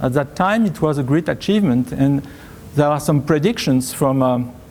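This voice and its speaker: A man's French accent over noticeable background noise. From France. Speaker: tech company presales leader. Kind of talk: conference talk. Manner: halting, many fillers.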